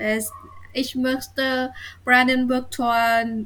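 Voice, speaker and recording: With a Vietnamese accent, a woman speaks at a very slow pace in a high voice. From Vietnam, near Hanoi. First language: Vietnamese (speaking German). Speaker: university student of German. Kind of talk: reading aloud; casual interview. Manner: halting.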